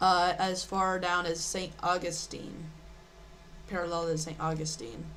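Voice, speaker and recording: Soft-spoken, a woman talks at a very slow pace with fairly even intonation and a fairly low pitch. Audible room echo surrounds her. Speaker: live weather streamer. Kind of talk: live weather commentary. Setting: live stream. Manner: halting. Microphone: too quiet.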